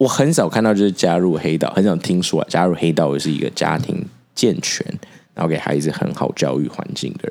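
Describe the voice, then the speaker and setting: A man's very deep, low voice with vocal fry, lively intonation and an animated tone at a fairly quick pace. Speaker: podcast co-host. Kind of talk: casual chat.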